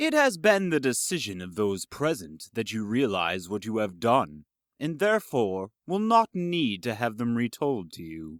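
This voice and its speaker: A low-pitched, put-on character voice at a moderate pace with hardly any pauses, on a very clean recording with a silent background. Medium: audio drama. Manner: formal, slightly smirking.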